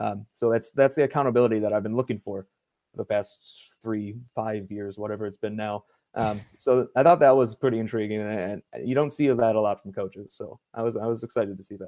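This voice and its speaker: With an American accent, a man of medium pitch and a dark, mellow tone speaks at a fairly quick pace with fairly even intonation and big swings in loudness, in a dry, close sound with no echo on a very clean recording with a silent background. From Cleveland, Ohio, US Midwest. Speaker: sports writer and football analyst. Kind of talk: casual podcast chat. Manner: halting, many fillers.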